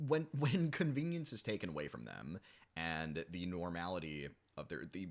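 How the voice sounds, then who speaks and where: A man's voice with very wide pitch swings, in a very clean recording over a silent background. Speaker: musician. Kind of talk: casual chat. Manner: halting, stammering.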